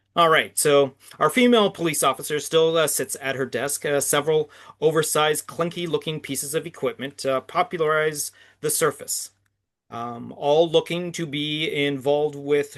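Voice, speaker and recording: With a Canadian accent and an unremarkable speaking voice, the speaker goes at a moderate pace against a quiet background. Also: man, fairly high pitch for a man. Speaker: podcast host. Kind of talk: scene description narration; casual interview chat.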